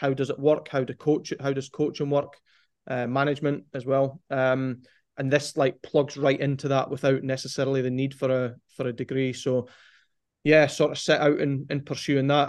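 Monotone, flat intonation with a Scottish accent. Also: man, fairly high pitch for a man, moderate pace. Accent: Scottish (Angus). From Scotland, Forfar (Angus). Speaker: football performance analyst. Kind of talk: casual interview chat.

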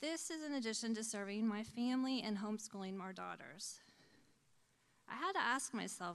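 This woman has an ordinary speaking voice, pitched fairly high. Her intonation is lively. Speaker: church board member and volunteer. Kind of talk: testimony. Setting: church.

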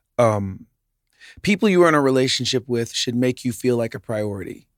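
A man with a medium pitch and an unremarkable speaking voice talks at a moderate pace. The recording is very clean with a silent background, and the sound is dry and close with no echo. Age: 40s. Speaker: podcast co-host sharing his therapy journey. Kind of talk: casual chat.

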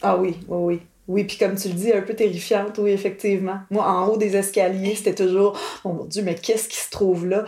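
A woman's medium-pitched voice at a moderate pace, with monotone, flat intonation and noticeable background noise. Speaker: cousin of the host, granddaughter. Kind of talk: casual interview.

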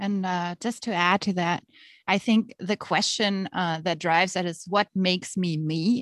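A woman with a German accent at a fairly slow pace, fairly even intonation, dry close sound with no echo, and a quiet background. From Germany. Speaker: author and teacher. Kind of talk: interview.

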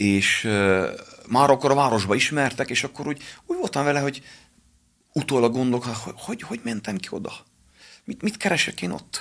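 A man at a fairly quick pace, with very wide pitch swings and long, frequent pauses. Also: medium pitch for a man. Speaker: pastor and boxing coach. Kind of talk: radio interview, personal testimony.

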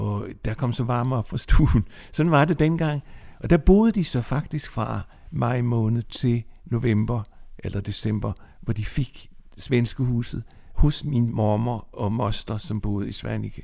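Very slowly, a man speaks at medium pitch in a dark, mellow tone. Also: ordinary pitch variation. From Bornholm, Denmark (Nexø). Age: 70s. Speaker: interviewee telling life story. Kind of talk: life story interview. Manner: halting.

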